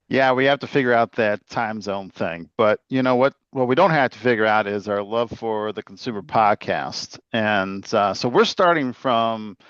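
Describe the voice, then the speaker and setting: Speaking with an Illinois accent, a man talks with hardly any pauses and ordinary pitch variation in a dry, close sound with no echo over a quiet background. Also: medium pitch for a man, moderate pace. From Chicago, Illinois. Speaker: podcast host. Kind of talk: casual chat. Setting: video call.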